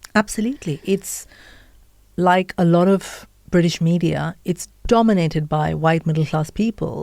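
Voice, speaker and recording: A woman's fairly low, dark, mellow voice in an Indian accent, at a moderate pace with ordinary pitch variation, in a dry, close sound with no echo. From India, Mumbai. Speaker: podcaster and author. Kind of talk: interview. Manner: animated.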